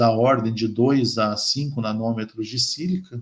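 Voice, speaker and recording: Here a man speaks at a medium pitch. His pace is fairly slow and his intonation fairly even. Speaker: chemistry professor. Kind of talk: lecture. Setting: colloquium talk. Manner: halting, many fillers.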